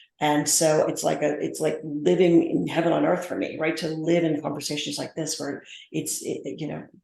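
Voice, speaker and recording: Amid audible room echo, the speech moves at a moderate pace with hardly any pauses. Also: woman. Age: 50s. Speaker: business strategist and speaker. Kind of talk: podcast interview. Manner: halting.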